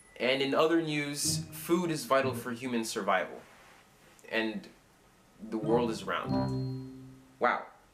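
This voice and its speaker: With music in the background, a man speaks at a very slow pace, leaving long, frequent pauses. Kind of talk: casual reading of news posts to camera.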